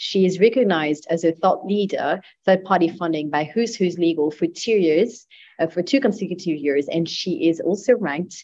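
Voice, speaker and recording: The pace is moderate with ordinary pitch variation. The background is quiet. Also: woman. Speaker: podcast co-host. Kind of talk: interview. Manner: halting. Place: office.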